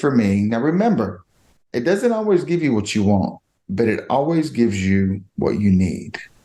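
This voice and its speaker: Dark and mellow in tone, a man's voice moves through very wide pitch swings. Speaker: podcast guest. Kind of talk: personal testimony in interview.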